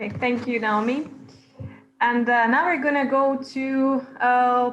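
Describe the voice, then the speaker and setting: The room echo is audible around this woman's high-pitched voice. Her intonation stays fairly even. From Galicia, Spain. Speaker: panel moderator. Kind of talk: panel moderation.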